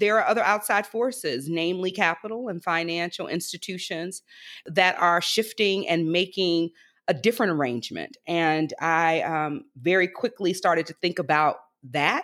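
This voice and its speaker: Recorded very cleanly over a silent background, a woman with an ordinary speaking voice talks at a moderate pace, her fairly low pitch showing ordinary variation. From US South, Alabama Gulf Coast. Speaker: economic justice leader. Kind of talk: interview.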